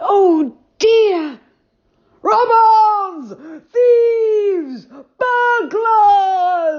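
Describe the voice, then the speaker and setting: A woman shouts loudly in a put-on character voice, squeaky and extremely high-pitched, with lively intonation. She speaks at a very slow pace, with long, frequent pauses. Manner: shouting, loud.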